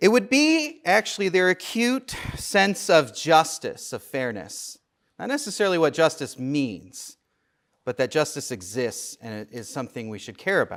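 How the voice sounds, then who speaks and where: A man at a fairly high pitch, with very wide pitch swings and a moderate pace, in a very clean recording with a silent background. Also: big swings in loudness. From US Midwest, St. Louis. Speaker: theology professor. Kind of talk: lecture. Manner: loud.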